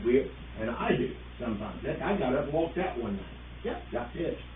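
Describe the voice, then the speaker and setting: A loud man's voice with very wide pitch swings, audible room echo and noticeable background noise. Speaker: village trustee. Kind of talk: public meeting discussion.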